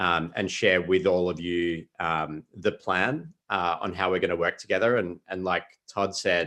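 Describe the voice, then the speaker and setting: In an Australian accent, a man with a very deep, low pitch and a bright, sharp tone speaks at a moderate pace with fairly even intonation over a quiet background. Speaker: consulting company founder and CEO. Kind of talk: business presentation in a public meeting. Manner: hesitant, many fillers.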